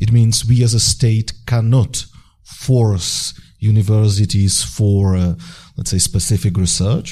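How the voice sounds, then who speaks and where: With a Czech accent, this somewhat breathy voice has a dark, mellow tone, ordinary pitch variation, and a fairly slow pace. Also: man. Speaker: deputy government minister. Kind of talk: panel discussion. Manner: halting.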